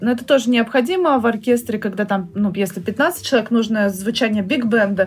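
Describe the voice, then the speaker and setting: Over noticeable background noise, a woman talks at a fairly quick pace with hardly any pauses. Her pitch is fairly high, with ordinary variation. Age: 30s. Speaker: saxophonist and music teacher. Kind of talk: casual chat.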